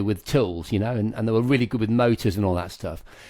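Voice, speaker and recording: Recorded very cleanly against a silent background, a man speaks with a dark, mellow tone. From Lincolnshire, England. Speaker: tech TV presenter and podcast host. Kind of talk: casual chat.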